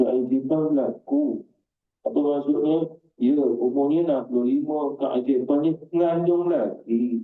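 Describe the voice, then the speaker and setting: A man in a Malaysian accent, fairly high in pitch, at a fairly slow pace, with ordinary pitch variation and very even loudness. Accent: Malaysian Malay. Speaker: Islamic religious teacher. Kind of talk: Quran exegesis lecture.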